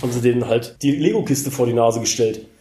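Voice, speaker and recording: Amid audible room echo, a man at medium pitch speaks very fast in a dark, mellow, somewhat breathy tone with fairly even intonation. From Rhineland, near Cologne. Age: 40s. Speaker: special-needs care worker in training. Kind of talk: interview.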